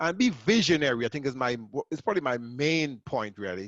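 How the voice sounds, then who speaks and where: In a Caribbean accent, a man with a fairly high pitch talks at a moderate pace, the sound dry and close with no echo over a quiet background. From Grenada. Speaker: accountant and entrepreneur. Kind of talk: webinar presentation. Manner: casual, repetitive.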